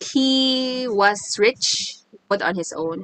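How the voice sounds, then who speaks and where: Bright, sharp tone from a woman in a Visayan Filipino accent, with very wide pitch swings and a dry, close sound with no echo. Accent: Filipino (Cebuano) English. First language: Cebuano. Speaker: podcast co-host. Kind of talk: casual chat.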